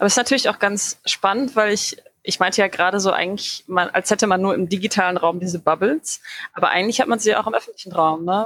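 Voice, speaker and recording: With a dry, close sound and no echo, a woman talks at a very fast pace at medium pitch with ordinary pitch variation. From Dortmund, Ruhr area, Germany. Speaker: community group founder. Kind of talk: interview conversation.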